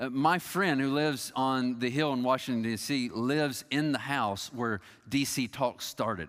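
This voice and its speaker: With an American accent and an unremarkable speaking voice, a man talks at a fairly slow pace in a medium pitch, captured in a very clean recording with a silent background. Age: 40s. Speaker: pastor. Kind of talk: sermon.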